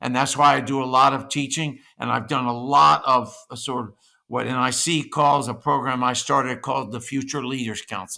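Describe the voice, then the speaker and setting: A man's medium-pitched voice with a bright, sharp tone and vocal fry, at a moderate pace and fairly even intonation, in a very clean recording with a silent background. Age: 70s. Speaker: senior living industry expert. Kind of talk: interview. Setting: podcast.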